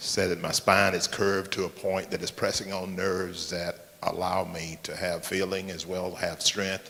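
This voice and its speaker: A man speaks with a very deep, low pitch in a monotone, flat intonation. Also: moderate pace, hardly any pauses. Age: 60s. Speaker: church member. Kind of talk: audience comment. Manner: halting.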